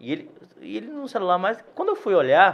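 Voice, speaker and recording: Using very wide pitch swings, a man talks at a moderate pace in a high pitch. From Salvador, Bahia, Brazil. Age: 40s. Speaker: physiotherapist. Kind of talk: interview.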